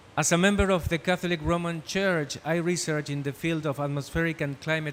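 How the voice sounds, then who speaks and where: This man keeps a moderate pace, and his intonation stays fairly even. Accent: Spanish. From Argentina. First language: Spanish. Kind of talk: prepared panel speech read from script. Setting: conference panel. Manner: reading from script.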